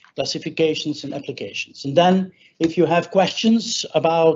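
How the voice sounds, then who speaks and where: This man's voice sits high, and his intonation stays fairly even. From Flanders, Belgium. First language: Dutch (Flemish). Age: 60s. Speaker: wire rope expert. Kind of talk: webinar presentation. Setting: webinar.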